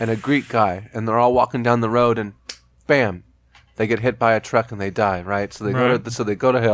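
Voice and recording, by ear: Someone is reading aloud in a natural voice, and the intonation stays fairly even.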